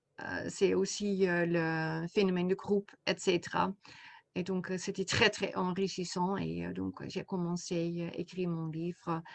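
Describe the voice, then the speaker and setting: Against a quiet background, a woman speaks at a fairly slow pace in a fairly low voice with monotone, flat intonation. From Netherlands. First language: Dutch (speaking French). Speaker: coach and therapist, author. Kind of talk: interview. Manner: halting, many hesitations.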